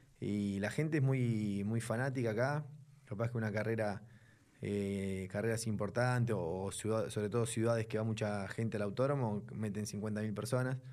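A man speaks with a fairly low pitch at a moderate pace. He has a plain, everyday voice. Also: fairly even intonation. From Buenos Aires, Argentina. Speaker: racing driver. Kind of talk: casual interview.

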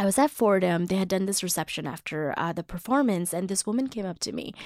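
A woman with an American accent, an ordinary speaking voice, and a medium pitch talks at a fairly quick pace with lively intonation in a very clean recording with a silent background. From US South, Mississippi. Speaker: actress and playwright. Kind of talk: casual interview.

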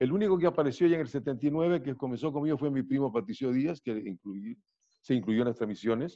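With a coastal Ecuadorian accent, a man talks in a fairly high pitch with a dark, mellow tone and lively intonation. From Ecuador, Riobamba, raised in Guayaquil and Quito. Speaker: radio announcer and sports commentator. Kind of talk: interview.

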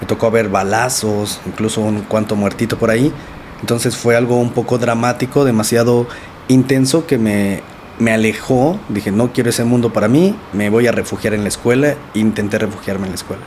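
Amid noticeable background noise, a man at medium pitch talks at a moderate pace with fairly even intonation. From Mexico, Nezahualcóyotl, State of Mexico. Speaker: entrepreneur and former inmate sharing life story. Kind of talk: interview, life story testimony.

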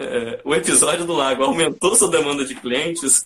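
A man with a fairly high pitch speaks at a moderate pace, using ordinary pitch variation and a plain, everyday voice. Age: 20s. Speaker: podcast host and photographer. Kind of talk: live-stream interview. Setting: online live stream.

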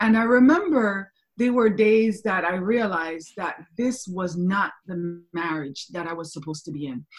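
A somewhat breathy woman talks at a medium pitch with ordinary pitch variation. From Kingston, Jamaica. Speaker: life coach. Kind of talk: podcast interview.

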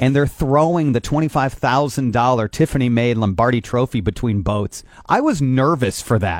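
A man with an American accent and a normal speaking voice talks at a fairly slow pace and medium pitch, with ordinary pitch variation and hardly any pauses. His loudness stays very even, and the sound is dry and close with no echo. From northeast Indiana. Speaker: morning radio host. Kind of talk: morning radio chat. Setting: radio studio.

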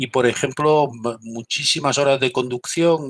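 Recorded with a dry, close sound and no echo, a man speaks in a plain, everyday voice with fairly even intonation. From Galicia, Spain. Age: 50s. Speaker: military intelligence veteran. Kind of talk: interview.

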